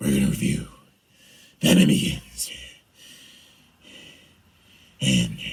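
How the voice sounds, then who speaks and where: Putting on a raspy character voice, a man delivers his lines in a menacing tone. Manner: gravelly, menacing.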